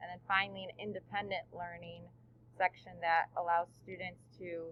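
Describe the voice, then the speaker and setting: A woman with a Chicago accent talks at a moderate pace in a fairly low pitch. Her intonation stays monotone and flat while her loudness swings widely. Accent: Chicago-area American. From Chicago suburbs, Illinois. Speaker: teacher. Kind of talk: recorded presentation.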